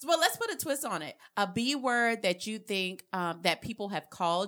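Lively intonation marks this woman's speech in a South Carolina accent. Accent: Southern US (South Carolina). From US South, South Carolina (rural). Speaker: podcast co-host, health administrator. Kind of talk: casual chat.

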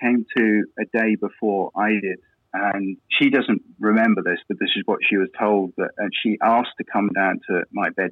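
Here a man with an English accent speaks at a medium pitch. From England. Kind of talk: interview testimony. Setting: phone call.

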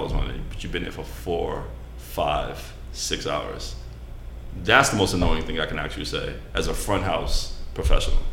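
Noticeable background noise and audible room echo surround this man as he talks. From New York. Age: 30s. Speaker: restaurant server. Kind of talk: casual chat.

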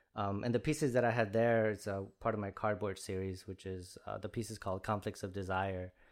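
A man with a Spanish accent and fairly low pitch, at a fairly quick pace with hardly any pauses and fairly even intonation, in a very clean recording with a silent background. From Chicago Heights, Illinois. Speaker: visual artist. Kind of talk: casual interview chat. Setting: studio. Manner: casual, conversational.

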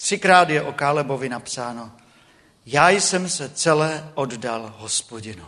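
With a bright, sharp tone and a fairly high pitch, a man speaks at a fairly slow pace, his intonation lively and his loudness swinging widely. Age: 40s. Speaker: preacher. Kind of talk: sermon. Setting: church.

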